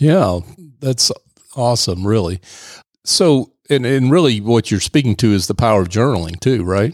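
A man speaks in an ordinary speaking voice at medium pitch, with lively intonation, a moderate pace and very even loudness. The recording is very clean with a silent background, and the sound is dry and close with no echo. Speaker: radio host. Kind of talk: radio interview. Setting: studio.

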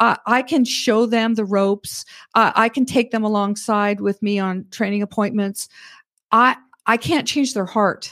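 A woman with a Canadian accent speaks slowly-ish at a fairly high pitch with fairly even intonation, in an unremarkable speaking voice. The recording is very clean, with a silent background. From Alberta, Canada. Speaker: financial advisor. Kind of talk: interview. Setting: studio.

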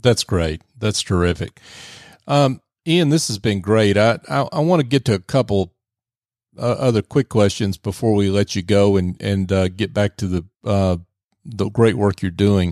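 A plain, everyday voice from a man with a fairly low pitch comes at a moderate pace with ordinary pitch variation, in a very clean recording with a silent background and a dry, close sound with no echo. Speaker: radio host. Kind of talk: interview. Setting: studio.

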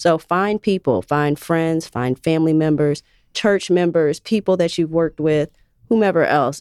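Heard in a dry, close recording with no echo, a woman with a normal speaking voice speaks at a fairly low pitch with ordinary pitch variation. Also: moderate pace, very even loudness. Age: 30s. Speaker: nonprofit outreach program specialist. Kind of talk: radio interview. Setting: studio.

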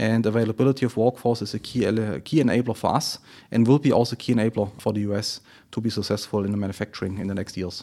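With a German accent, the voice races at a very fast pace in a dark, mellow tone, on a very clean recording with a silent background. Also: man. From Germany, Friedrichshafen. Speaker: automotive plant manager. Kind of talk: business interview. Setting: studio. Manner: halting, many fillers.

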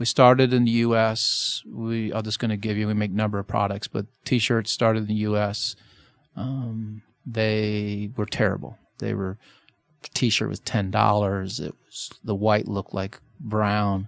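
A man with a normal speaking voice and a fairly low pitch talks at a fairly slow pace in a very clean, silent recording that sounds dry and close with no echo. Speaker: merchandising company president. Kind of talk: radio interview about business. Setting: radio studio.

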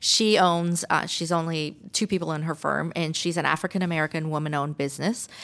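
Using a normal speaking voice, a woman talks fairly quickly and fairly low in pitch, with fairly even intonation and hardly any pauses. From Canada. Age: 50s. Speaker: architect and construction manager. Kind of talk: radio interview. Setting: studio.

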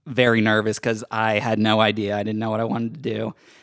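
In an American accent, a man talks in an unremarkable speaking voice at medium pitch. His intonation is fairly even, and the recording is very clean with a silent background. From US South (Georgia). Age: 30s. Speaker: radio studio producer. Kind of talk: casual chat. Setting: studio.

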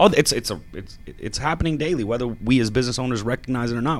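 With an American accent and a normal speaking voice, a man talks at a medium pitch and a fairly quick pace. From Georgia, US. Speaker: family business owner. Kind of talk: radio interview. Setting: studio.

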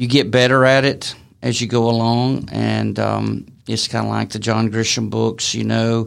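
Here a man speaks with a Southern US accent. His pace is moderate. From Alabama. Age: 60s. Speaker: author. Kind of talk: interview. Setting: studio. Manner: halting.

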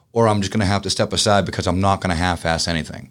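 A man with a Boston accent is heard in a very clean recording with a silent background. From Boston, Massachusetts. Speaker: business owner. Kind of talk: interview. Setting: studio.

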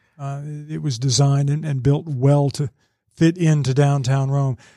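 Somewhat breathy and dark, mellow in tone, a man speaks at a fairly high pitch with monotone, flat intonation. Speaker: newspaper business editor and former radio news director. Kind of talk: casual interview. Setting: studio.

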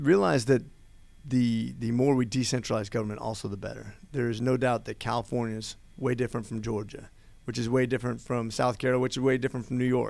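Someone with an American accent speaks very fast in a very clean recording with a silent background. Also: man, medium pitch for a man. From Oregon, US. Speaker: congressional candidate. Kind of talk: radio interview. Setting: studio.

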